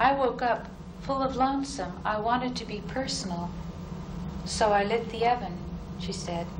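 At a moderate pace, a woman talks in a fairly high pitch with noticeable background noise. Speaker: poet. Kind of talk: poetry reading. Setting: live reading in a university hall. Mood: calm, reflective. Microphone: old recording.

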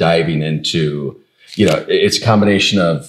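Ordinary pitch variation comes through against a quiet background. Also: man. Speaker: podcast co-host. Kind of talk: podcast conversation. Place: office. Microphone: lapel.

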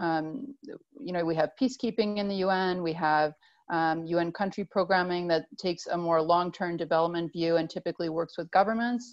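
An ordinary speaking voice keeps a moderate pace with ordinary pitch variation. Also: woman. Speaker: UN agency staff member. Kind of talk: panel discussion on video call. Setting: video call.

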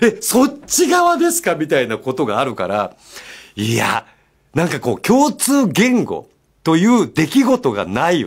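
Noticeable quiet behind a man's fairly slow delivery. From Japan, Miyazaki; Japan. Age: 50s. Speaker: radio host. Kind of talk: casual radio talk. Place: studio.

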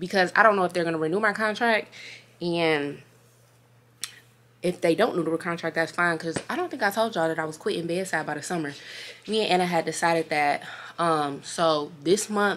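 A woman's unremarkable speaking voice, fairly low in pitch, with ordinary pitch variation and a fairly quick pace. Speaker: vlogger. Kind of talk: casual vlog chat. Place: home room. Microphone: phone near.

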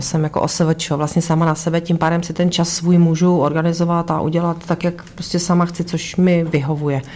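At a fairly slow pace, a woman with a normal speaking voice talks at a fairly low pitch. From Karlovy Vary. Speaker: boxer's wife. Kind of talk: casual chat.

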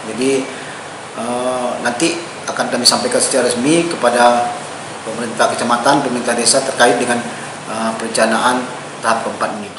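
A man talks with long, frequent pauses. The room echo is audible, and background noise is noticeable. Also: fairly even intonation, fairly quick pace. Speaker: regional government official. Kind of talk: official statement to press. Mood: calm, formal. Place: office.

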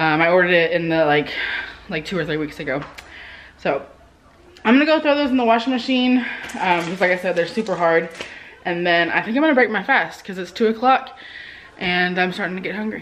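Her intonation lively, a woman talks at a fairly quick pace. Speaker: vlogger. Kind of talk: casual vlog chat. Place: home room. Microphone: phone near.

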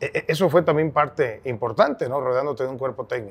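A man's fairly high voice carries along at a moderate pace. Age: 50s. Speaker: podcast host, sports journalist. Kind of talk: interview conversation. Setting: brewery. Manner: halting, repetitive. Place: bar.

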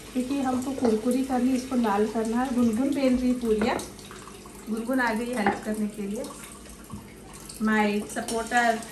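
Very slowly and in a flat monotone, a woman speaks at a high pitch, with audible room echo and noticeable background noise. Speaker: vlogger. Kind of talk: cooking vlog. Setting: at home. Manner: casual chatty.

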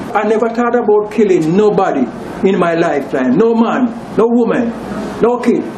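Amid light background noise and audible room echo, a man with a high voice talks at a moderate pace with lively intonation and long, frequent pauses. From Jamaica. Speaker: person accused in a news story. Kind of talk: interview answer. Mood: defensive, explaining himself. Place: street. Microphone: handheld.

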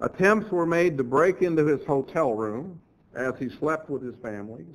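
Lively intonation marks a man's unremarkable speaking voice, pitched fairly high and delivered at a moderate pace. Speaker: church lecturer, creationist speaker. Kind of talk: church lectureship sermon.

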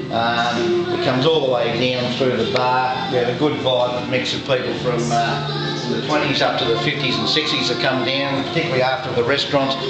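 A man at a fairly quick pace with hardly any pauses, with audible room echo and loud music in the background. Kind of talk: interview answer. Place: bar. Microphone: phone near.

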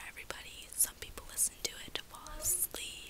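Loud background noise sits under a soft-spoken woman, while the sound itself is dry with no echo. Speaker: vlogger. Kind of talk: casual vlog chat. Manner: soft, hushed ASMR-style talk. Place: home room. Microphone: phone near.

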